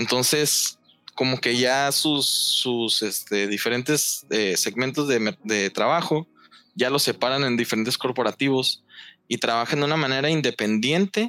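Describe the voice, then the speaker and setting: His medium-pitched voice has a bright, sharp tone, very even loudness, ordinary pitch variation and a fairly slow pace, with a dry, close sound and no echo. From Mexico. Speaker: meme creator. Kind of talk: casual chat.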